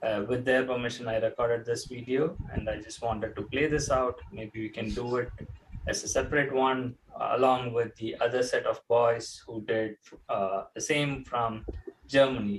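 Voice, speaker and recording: A man with an Indian accent, medium pitch, fairly even intonation and a moderate pace. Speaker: charity talk show co-host. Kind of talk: casual chat. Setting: live online talk show. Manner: halting.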